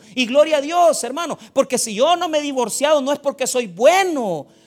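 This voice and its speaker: With noticeable background noise around him, a man speaks at a moderate pace in an extremely high pitch, his intonation lively. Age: 40s. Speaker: pastor. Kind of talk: sermon.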